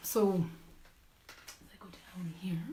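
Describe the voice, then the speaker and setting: A woman with a fairly low pitch is heard through audible room echo and noticeable background noise. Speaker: yarn shop owner and knitting show host. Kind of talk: live product showcase. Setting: live stream.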